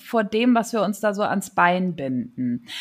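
A woman's fairly high voice, an ordinary speaking voice, on a very clean recording with a silent background. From Rhineland, Germany (Neuss, near Düsseldorf/Cologne). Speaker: TV scriptwriter. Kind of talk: interview, personal story. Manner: casual with many fillers.

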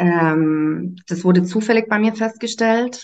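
The speech goes at a very slow pace. Pitch varies in an ordinary way. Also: woman. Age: 30s. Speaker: nursery teacher and human design coach trainee. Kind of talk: casual chat. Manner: hesitant, many fillers.

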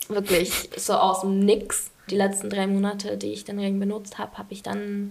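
This woman talks at a moderate pace with a medium pitch. Noticeable background noise runs under her voice. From England. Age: 20s. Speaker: student. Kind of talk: interview.

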